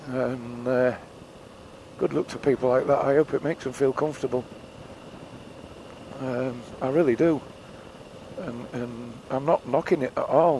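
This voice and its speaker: Speaking with an English accent at a moderate pace, the voice keeps fairly even intonation and takes long, frequent pauses against noticeable background noise. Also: man. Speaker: motorcycle vlogger. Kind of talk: casual vlog monologue. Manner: rambling, hesitant.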